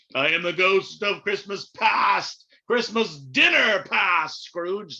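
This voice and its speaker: The put-on character voice sits at a middle pitch and moves at a very slow pace. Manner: ghostly, booming.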